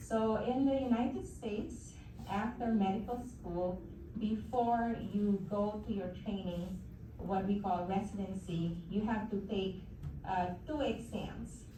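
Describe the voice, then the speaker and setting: At a very slow pace, a woman speaks at a medium pitch. Her pitch variation is ordinary. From Philippines. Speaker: oncologist and hematologist. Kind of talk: guest talk to an audience.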